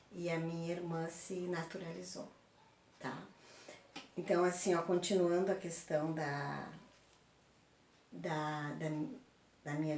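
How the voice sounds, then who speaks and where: A woman's fairly low, monotone voice at a very slow pace, with long, frequent pauses and audible room echo. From southern Brazil (Porto Alegre), born in Uruguay. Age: 60s. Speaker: oral history interviewee. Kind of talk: oral history interview.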